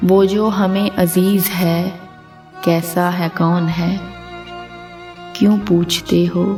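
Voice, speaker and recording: Flat, monotone intonation comes through over music in the background. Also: woman, medium pitch for a woman. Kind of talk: poetry reading.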